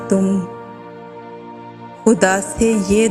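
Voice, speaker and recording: Music can be heard behind the speaker. She is a woman talking at a medium pitch. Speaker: narrator. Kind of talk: poetry reading. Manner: sad, emotional.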